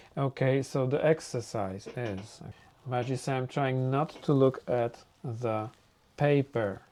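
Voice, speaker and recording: At a very slow pace, a man with a medium pitch and a dark, mellow tone speaks with ordinary pitch variation. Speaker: art teacher. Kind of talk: tutorial. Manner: halting.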